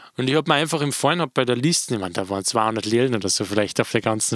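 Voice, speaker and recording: Here a man speaks very fast with ordinary pitch variation. The sound is dry and close, with no echo. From Austria. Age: 20s. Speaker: DJ and podcast host. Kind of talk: casual chat.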